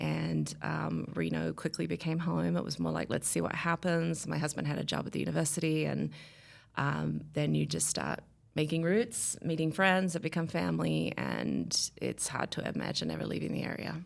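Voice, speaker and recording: There's a slight Australian accent at a moderate pace. The recording is very clean, with a silent background. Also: woman. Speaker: podcast guest sharing a life story. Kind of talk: casual interview conversation.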